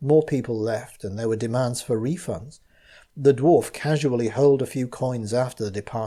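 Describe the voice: Someone gives a plain reading aloud here.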